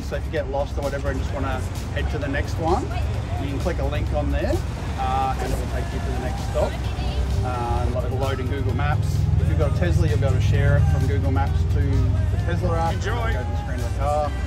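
A man rattles off his words very fast while loud music plays behind him. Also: ordinary pitch variation. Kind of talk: group briefing. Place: street.

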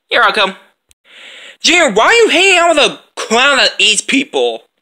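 The speech moves at a moderate pace. Behind it, the background is quiet. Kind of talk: character voice play dialogue. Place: home room. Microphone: phone near.

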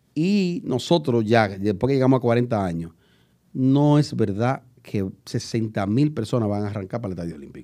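Against a quiet background, a man with a dark, mellow tone speaks with lively intonation and big swings in loudness. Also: moderate pace. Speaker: YouTube show host. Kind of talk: casual talk show discussion. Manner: joking, chatty. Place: studio. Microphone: studio mic.

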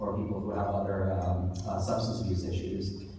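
Strong room echo and light background noise surround a man's voice. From US, New York City. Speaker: author and awards host. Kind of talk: awards ceremony speech. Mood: heartfelt, personal. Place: hall. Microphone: camera far.

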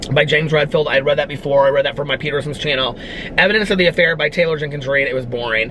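A man races along at a very fast pace while light background noise plays. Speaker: book vlogger. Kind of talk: casual vlog chat. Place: car.

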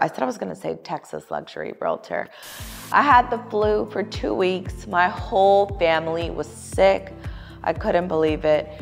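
A woman with an upbeat tone talks at a moderate pace over music in the background. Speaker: luxury real estate agent. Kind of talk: casual talk to camera.

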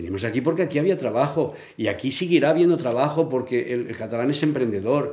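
Very fast speech with lively intonation and a dark, mellow tone, with audible room echo. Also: man. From Catalonia. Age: 70s. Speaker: interviewee. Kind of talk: interview. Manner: halting. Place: home room.

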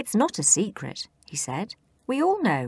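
A woman's medium-pitched voice with vocal fry and very wide pitch swings. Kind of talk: children's audiobook reading.

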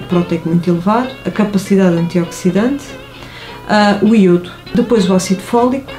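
Clear music plays in the background. Over it, a woman speaks with ordinary pitch variation. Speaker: interviewee. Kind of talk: interview answer. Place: office.

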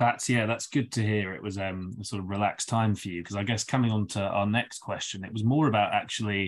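In a London accent, a man rattles along at a very fast pace with hardly any pauses. His pitch is fairly low and his intonation fairly even. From London, England. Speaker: podcast co-host. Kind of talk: casual interview. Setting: remote call. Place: home room. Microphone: video call.

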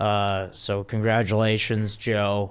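A man speaks in a fairly low-pitched voice. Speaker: podcast host. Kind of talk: casual podcast intro. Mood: playful, joking. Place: studio. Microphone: studio mic.

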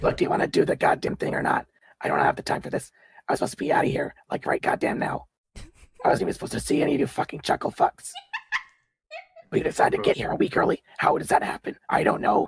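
In a raspy, put-on character voice, a man rushes at a very fast pace between long, frequent pauses, recorded dry and close with no echo. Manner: raspy, threatening, impatient; irritated, crude.

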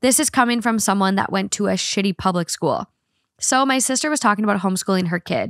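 A woman talks at a fairly quick pace and fairly high pitch in a normal speaking voice, with lively intonation. The background is quiet, and the sound is dry with no echo. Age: 30s. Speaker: podcast host. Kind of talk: casual chat. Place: studio. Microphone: studio mic.

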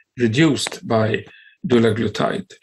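A man talks at a fairly slow pace with lively intonation and a somewhat breathy quality. Light background noise can be heard. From Sweden. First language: Swedish (speaking Indonesian). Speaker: cardiology professor. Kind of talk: lecture. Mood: calm, measured. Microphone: webcam.

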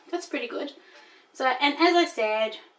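At a moderate pace, a woman speaks in a high voice. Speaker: haul vlogger. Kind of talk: casual vlog chat. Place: home room. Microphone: camera far.

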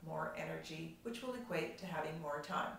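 In a room with audible echo and light background noise, a woman speaks at a moderate pace in an upbeat tone. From Canada. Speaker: professional organizer and productivity coach. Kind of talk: casual talk to camera. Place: home room. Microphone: camera far.

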